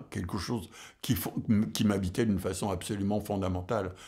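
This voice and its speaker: A man speaks at a fairly low pitch. His intonation is monotone and flat, and audible room echo surrounds him. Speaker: jazz drummer and music scholar. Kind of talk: lecture. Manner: halting, many hesitations.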